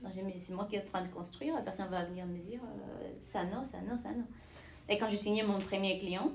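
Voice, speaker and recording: Speaking at a fairly quick pace in a non-native accent, a woman is heard with audible room echo and noticeable background noise. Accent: foreign accent in French. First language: not French (speaking French). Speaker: entrepreneur. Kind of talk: casual chat.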